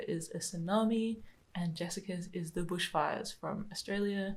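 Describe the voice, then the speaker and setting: A somewhat breathy woman's voice at medium pitch, with a moderate pace and fairly even intonation. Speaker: podcast co-host. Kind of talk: casual chat. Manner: speaks like a kindergarten teacher.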